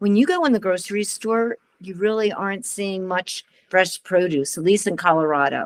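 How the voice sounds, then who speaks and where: Speaking at a moderate pace, a woman has a plain, everyday voice. Her pitch varies in an ordinary way. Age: 60s. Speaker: program participant. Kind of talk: online group sharing.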